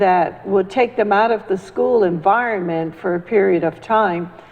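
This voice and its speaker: Noticeable background noise surrounds a woman talking at a medium pitch with fairly even intonation. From Central America. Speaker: community activist. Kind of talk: panel discussion.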